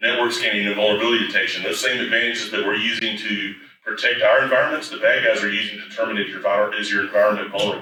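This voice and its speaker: A man with an East Tennessee accent talks at a very fast pace amid audible room echo. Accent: East Tennessee Southern. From East Tennessee, US South. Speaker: IT services executive, conference speaker. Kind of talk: conference presentation. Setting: conference stage with audience. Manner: loud.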